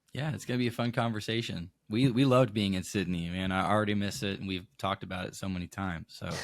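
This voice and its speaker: Speaking at a very fast pace with hardly any pauses, a man with an American accent uses a fairly low pitch and ordinary pitch variation. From Maine, northeastern US. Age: 20s. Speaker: youth pastor. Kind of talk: podcast interview. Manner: casual, many fillers.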